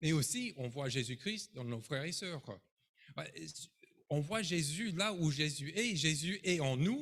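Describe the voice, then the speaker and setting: Long, frequent pauses mark this man's very slow delivery in an American accent. His pitch is fairly high, and his intonation is lively. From United States. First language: English (speaking French). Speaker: pastor. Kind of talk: sermon. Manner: animated.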